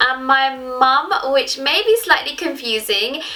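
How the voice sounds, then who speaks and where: Raising and projecting her voice over noticeable background noise, a woman with a London accent speaks at a high pitch and moderate pace in an animated tone. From London, England. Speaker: YouTuber. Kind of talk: casual vlog talk to camera.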